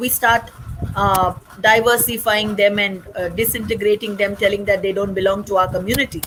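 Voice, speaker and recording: Fairly quick speech with fairly even intonation plays over noticeable background noise. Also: woman. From India, Chennai (North Indian family). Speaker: social activist, company founder. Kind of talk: interview.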